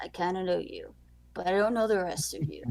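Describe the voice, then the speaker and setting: Putting on a raspy character voice at a medium pitch, a woman speaks at a fairly quick pace. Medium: actual play. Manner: casual, blunt, teasing.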